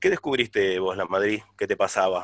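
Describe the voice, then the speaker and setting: Dry and close with no echo, a man talks at a very fast pace. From Argentina, La Plata. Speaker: radio host. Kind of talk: casual interview.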